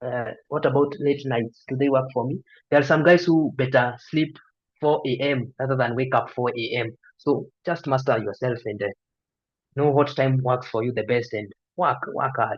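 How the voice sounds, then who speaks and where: In a Kenyan accent, a man speaks at a moderate pace with ordinary pitch variation and a somewhat breathy sound. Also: medium pitch for a man. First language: Kikuyu. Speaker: medical student tutor, YouTuber. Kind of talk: online lecture Q&A. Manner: hesitant, many fillers.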